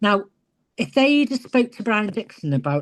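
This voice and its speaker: Against a quiet background, a woman with an English accent talks at a moderate pace with lively intonation. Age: 60s. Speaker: retired professional wrestler. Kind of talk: interview.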